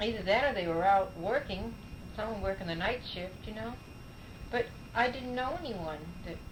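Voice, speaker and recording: Over noticeable background noise and audible room echo, a woman with an American accent speaks at a fairly high pitch with lively intonation and long, frequent pauses. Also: moderate pace. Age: 70s. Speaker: oral history interviewee. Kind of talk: oral history interview. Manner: halting.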